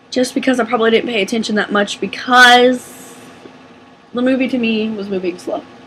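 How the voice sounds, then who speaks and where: A woman's animated, fairly high voice at a fairly quick pace, with noticeable background noise. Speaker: movie reviewer. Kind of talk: casual chat.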